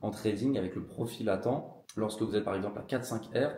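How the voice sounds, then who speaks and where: A man with a dark, mellow tone speaks at a very fast pace and medium pitch, with ordinary pitch variation and audible room echo. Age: 20s. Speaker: trading educator. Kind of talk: casual talk to camera.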